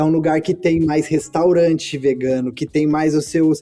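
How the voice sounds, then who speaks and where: Speaking at a high pitch with a dark, mellow tone, a man keeps a moderate pace and fairly even intonation. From Brazil, Campinas. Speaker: podcast host. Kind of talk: casual chat.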